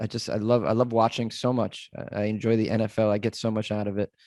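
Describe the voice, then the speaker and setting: Recorded very cleanly with a silent background, a man speaks with an American accent. His pitch is medium and his pace fairly quick. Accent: Boston accent, comes out when drunk. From US Northeast, Massachusetts (Boston area). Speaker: comedian and podcaster. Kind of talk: casual podcast interview. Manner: animated, joking.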